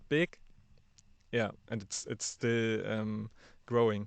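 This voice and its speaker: A man speaks at a very slow pace with a German accent, his pitch medium and his intonation fairly even. The sound is dry and close, with no echo. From Germany. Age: 30s. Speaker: podcast producer. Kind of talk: interview. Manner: halting.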